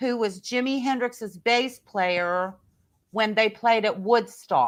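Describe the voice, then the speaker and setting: A woman speaks very slowly at a fairly high pitch, with ordinary pitch variation, on a very clean recording with a silent background. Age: 60s. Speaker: professional singer and keyboard player. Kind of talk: reading aloud; casual chat. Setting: live video podcast.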